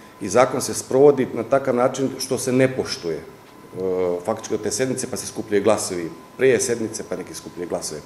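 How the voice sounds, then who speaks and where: Talking at a very fast pace with ordinary pitch variation, a man is heard with audible room echo and light background noise. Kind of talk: interview answer. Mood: critical, explaining. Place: office.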